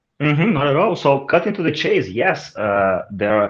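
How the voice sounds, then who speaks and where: A man speaks with a Brazilian accent. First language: Portuguese. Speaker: marketing executive. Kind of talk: interview.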